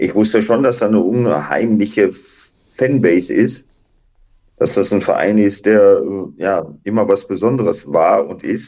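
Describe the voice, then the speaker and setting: Leaving long, frequent pauses, a man speaks at a fairly low pitch with ordinary pitch variation and a dark, mellow tone. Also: fairly slow pace. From Duisburg, Ruhr area, Germany. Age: 60s. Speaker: retired footballer and coach. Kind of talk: interview.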